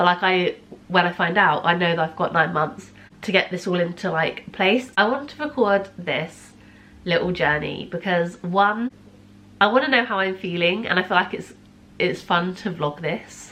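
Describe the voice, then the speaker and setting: A woman at medium pitch, with ordinary pitch variation and a moderate pace. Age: 20s. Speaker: vlogger. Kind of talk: casual vlog. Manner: quiet.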